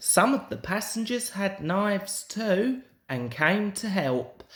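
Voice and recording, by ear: A man talks at a slow pace with a fairly bright tone, and room echo can be heard.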